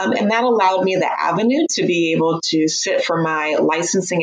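With a Midwestern American accent, a woman speaks using ordinary pitch variation. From US Midwest, Missouri. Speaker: golf coach and psychotherapist. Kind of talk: interview.

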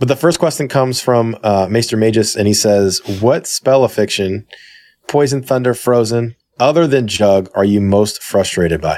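Using an ordinary speaking voice, a man speaks at a medium pitch and moderate pace, with ordinary pitch variation and very even loudness. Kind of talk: casual chat. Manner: casual.

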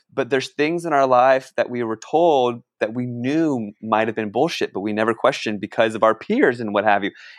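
A man with an ordinary speaking voice and an American accent talks at a fairly quick pace with hardly any pauses, medium in pitch with ordinary pitch variation, in a dry, close sound with no echo against a quiet background. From Northern Virginia, US. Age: 40s. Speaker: activist and filmmaker. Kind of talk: podcast interview.

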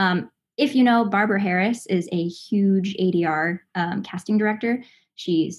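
On a very clean recording with a silent background, a somewhat breathy woman speaks at medium pitch with ordinary pitch variation. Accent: American. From Los Angeles, family from Southern Indiana. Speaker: voice actress. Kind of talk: casual interview.

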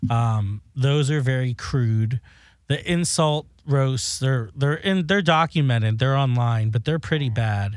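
In an ordinary speaking voice, a man with an American accent talks at a fairly slow pace and medium pitch, with ordinary pitch variation and very even loudness, on a very clean recording with a silent background. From South Florida. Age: 20s. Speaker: beauty products maker and drag performer. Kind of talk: casual chat.

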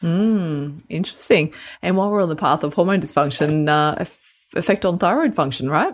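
Her pitch shifts in an ordinary way. The woman talks with an Australian accent. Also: fairly low pitch for a woman. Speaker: health podcast co-host. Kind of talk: casual chat. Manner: fast.

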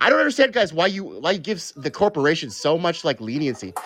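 Vocal fry runs through this man's speech. He talks at a very fast pace with very wide pitch swings. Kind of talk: heated debate. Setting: live online call-in show.

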